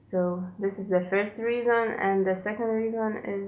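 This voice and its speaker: With a Lithuanian accent, a woman speaks fairly slowly at a medium pitch in a flat monotone, with audible room echo in the recording. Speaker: knitting podcaster. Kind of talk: casual podcast monologue. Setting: at home.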